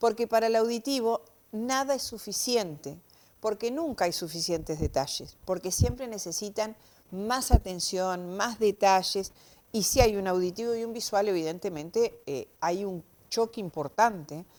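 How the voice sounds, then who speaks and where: This woman has a plain, everyday voice with a fairly high pitch. She talks at a fairly slow pace. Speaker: semiology expert. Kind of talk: TV interview explanation.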